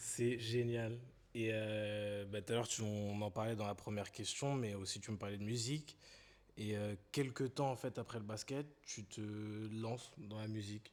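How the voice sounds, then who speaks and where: Using fairly even intonation, a man with a fairly low pitch talks at a fairly slow pace, with long, frequent pauses. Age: 20s. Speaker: podcast host. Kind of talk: interview conversation.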